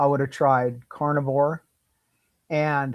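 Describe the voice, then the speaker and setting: A man's fairly high, monotone, flat voice in a very clean recording with a silent background. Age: 60s. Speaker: health coach. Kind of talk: interview. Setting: live stream. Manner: halting.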